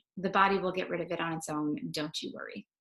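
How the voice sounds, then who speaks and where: Speaking at a fairly quick pace, a woman with a fairly low pitch keeps her intonation fairly even. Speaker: wellness coach. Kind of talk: live stream talk. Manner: casual.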